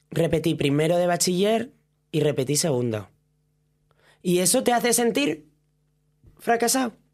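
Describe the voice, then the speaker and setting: With very wide pitch swings yet very even loudness, a woman speaks in a fairly low pitch at a moderate pace, leaving long, frequent pauses. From Asturias, Spain. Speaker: drag performer. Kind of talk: casual chat.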